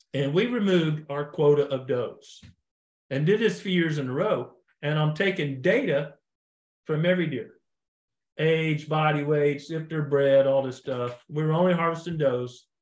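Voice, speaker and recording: Here is a man with an unremarkable speaking voice and a fairly high pitch. He uses ordinary pitch variation at a moderate pace. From US Midwest, Missouri Ozarks. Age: 60s. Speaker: deer biologist. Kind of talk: podcast interview.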